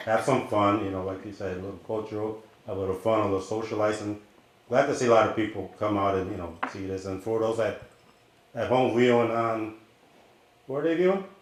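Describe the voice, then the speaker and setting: Speaking at a fairly quick pace with long, frequent pauses, a man with a fairly low pitch and ordinary pitch variation is heard in a room with audible echo. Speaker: chef. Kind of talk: cooking demonstration. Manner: loud.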